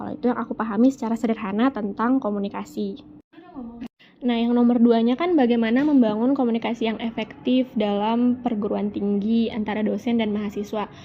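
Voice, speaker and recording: Noticeable background noise runs underneath. Over it, a woman speaks at a fairly quick pace. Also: fairly high pitch for a woman, fairly even intonation. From Sundanese region, West Java, Indonesia. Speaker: university student. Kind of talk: interview. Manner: casual, colloquial Jakarta slang.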